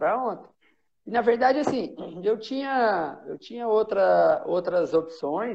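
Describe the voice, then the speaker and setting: The man has a high pitch and lively intonation. He talks at a fairly slow pace. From São Paulo state, Brazil. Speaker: former professional footballer. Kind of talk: casual chat.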